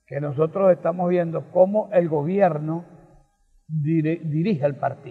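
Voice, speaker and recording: Someone speaks at a fairly slow pace over a quiet background. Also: man. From Venezuela, Portuguesa state. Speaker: political talk show co-host, economist. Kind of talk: political opinion discussion. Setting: recorded outdoors for local TV. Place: garden. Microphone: handheld.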